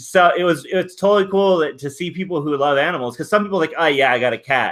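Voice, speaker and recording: A man's high voice with a Californian accent, ordinary pitch variation and a very fast pace. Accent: California. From Southern California. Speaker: live stream host. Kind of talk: casual chat. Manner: halting.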